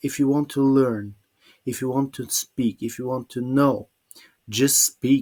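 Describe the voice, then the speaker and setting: Very slowly, a man of medium pitch speaks with a Bulgarian accent in a dry, close sound with no echo. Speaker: English teacher. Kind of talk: webinar presentation. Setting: online webinar. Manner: halting.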